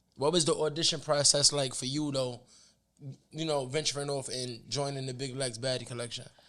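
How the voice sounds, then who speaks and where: A man speaks fast-ish with a New York accent, at a fairly quick pace. His fairly high voice stays monotone and flat. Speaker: podcast host, former rapper. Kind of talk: casual interview chat.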